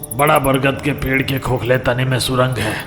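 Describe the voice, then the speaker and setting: Over loud music in the background, a man uses a put-on character voice at a medium pitch. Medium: audio drama. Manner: cryptic, commanding.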